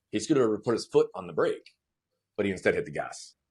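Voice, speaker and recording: An animated man with an American accent talks at a very fast pace. The sound is dry and close, with no echo. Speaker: motivational speaker. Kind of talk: interview.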